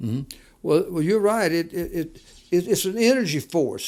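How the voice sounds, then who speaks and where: Talking at a fairly quick pace, a man with a Southern US accent has a high pitch. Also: very clean recording, silent background. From US South. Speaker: podcast co-host, entrepreneur. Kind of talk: casual chat. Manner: halting, repetitive.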